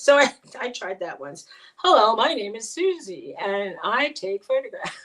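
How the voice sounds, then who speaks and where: Speaking with an American accent, a woman talks at a fairly slow pace and a high pitch. Her voice shows very wide pitch swings and big swings in loudness. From New York City. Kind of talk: casual chat. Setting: live stream.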